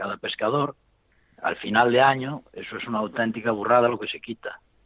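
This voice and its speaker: A man with a medium pitch talks at a moderate pace with ordinary pitch variation. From Galicia, Spain (Ourense). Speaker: professional fly tier. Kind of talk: casual interview. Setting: in person with host.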